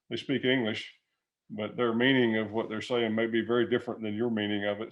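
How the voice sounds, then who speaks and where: Speaking in a flat monotone at a fairly quick pace, a man talks with a slight Southern US accent. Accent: slight Southern country twang. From US South, Alabama. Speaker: retired business executive. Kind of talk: interview. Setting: video call. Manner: conversational, many fillers and repeated words.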